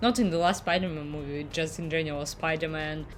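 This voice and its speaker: A woman with a very deep, low pitch and a non-native accent, audible room echo and music in the background. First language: not English. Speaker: YouTube reactor. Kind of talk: casual vlog intro to camera.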